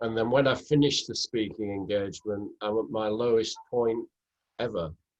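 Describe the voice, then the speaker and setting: His intonation stays fairly even at a moderate pace. This man has a plain, everyday voice and a medium pitch. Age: 60s. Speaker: author and public speaker. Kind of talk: interview conversation.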